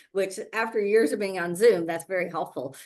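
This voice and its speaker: Over a quiet background, a woman of medium pitch talks with ordinary pitch variation. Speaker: virtual summit host and event organizer. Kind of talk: webinar presentation with slides. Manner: fast; filler-heavy, repetitive restarts.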